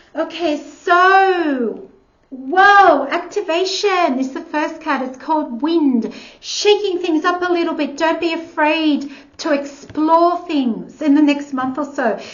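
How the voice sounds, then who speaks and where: A woman's extremely high-pitched voice at a very slow pace, ordinary pitch variation, in audible room echo. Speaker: tarot reader. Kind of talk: tarot reading.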